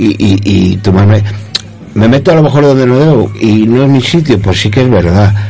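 Amid noticeable background noise and audible room echo, a man with a fairly low pitch speaks at a moderate pace, his loudness very even and his pitch variation ordinary. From Spain, Zamora. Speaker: resident contributor on community radio. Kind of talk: reading own essay aloud. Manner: halting.

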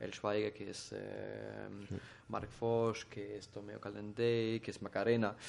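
A man with a German accent talks at a very slow pace. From Germany. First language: German (speaking Spanish). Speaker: chef. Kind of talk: casual interview. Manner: halting.

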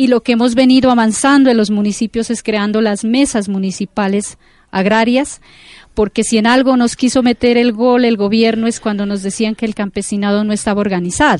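A woman with a plain, everyday voice speaks at a moderate pace in a fairly high pitch with ordinary pitch variation. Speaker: farmers' leader. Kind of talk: interview testimony.

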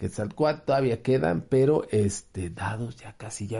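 A man's somewhat breathy voice with a Mexican accent, a dark, mellow tone, medium pitch and ordinary pitch variation, over a quiet background. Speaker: game store promoter. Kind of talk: event announcement.

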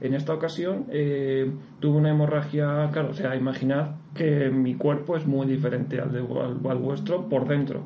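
A man at a fairly high pitch, monotone and flat, moderate in pace with hardly any pauses, amid audible room echo and noticeable background noise. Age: 30s. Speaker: ultra-distance runner. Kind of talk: interview. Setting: studio.

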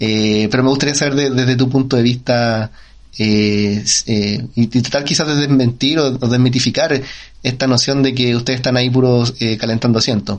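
Speaking at a moderate pace with a Chilean accent, a man keeps his intonation fairly even and his loudness very even. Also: medium pitch for a man. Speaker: podcast co-host. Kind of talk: casual interview. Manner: halting.

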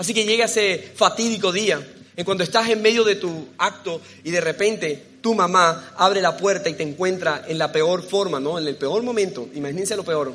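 Ordinary pitch variation and a moderate pace from a man with a high pitch. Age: 30s. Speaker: preacher. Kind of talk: sermon.

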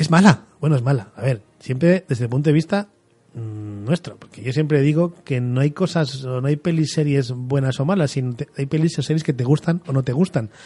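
A man with a fairly high pitch and dark, mellow tone sounds somewhat breathy as he talks at a moderate pace. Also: ordinary pitch variation. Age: 40s. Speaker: podcast host. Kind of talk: solo monologue.

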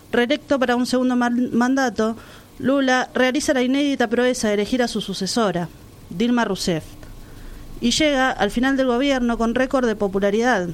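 The woman's voice is high-pitched, with ordinary pitch variation. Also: moderate pace, very even loudness. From Argentina, La Plata. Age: 30s. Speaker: radio co-host. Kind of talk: scripted narration; casual chat.

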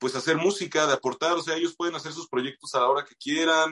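A man with a Bajío Mexican accent at a fairly high pitch, dry and close with no echo. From Mexico, Moroleón, Guanajuato. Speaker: musician and radio announcer. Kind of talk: casual interview chat.

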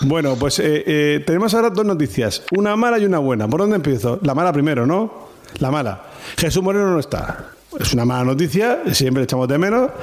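Over noticeable background noise, a man with a fairly high pitch talks at a fairly quick pace, with very wide pitch swings and very even loudness. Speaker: rugby podcast host. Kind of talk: casual chat.

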